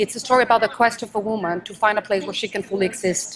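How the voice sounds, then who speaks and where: Noticeable background noise runs through the clip. The speaker's intonation remains fairly even. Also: woman. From Mexico. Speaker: stage and film actress. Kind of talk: interview answer.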